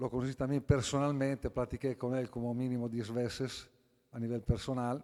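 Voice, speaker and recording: A voice with an Italian accent and a dark, mellow tone speaks with fairly even intonation in a very clean recording with a silent background. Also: man. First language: Italian (speaking Spanish). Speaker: philosopher, book presenter. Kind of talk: book presentation talk. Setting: auditorium with audience. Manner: halting.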